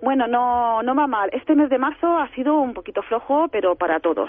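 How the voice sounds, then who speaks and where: Against noticeable background noise, a woman speaks at a moderate pace with very wide pitch swings. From Alicante, Spain. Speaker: shop owner, former photographer. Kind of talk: interview. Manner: hesitant.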